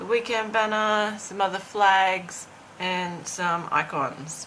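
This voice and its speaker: This woman talks at a very slow pace, and audible room echo surrounds her words. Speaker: planning and lifestyle vlogger. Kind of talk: tutorial. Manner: hesitant, many fillers.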